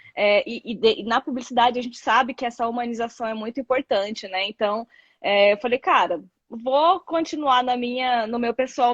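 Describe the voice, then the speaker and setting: Woman with a high pitch, moderate pace and ordinary pitch variation. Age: 30s. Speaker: content creator, social media manager. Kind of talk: casual interview chat. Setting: Instagram live. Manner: halting, many fillers.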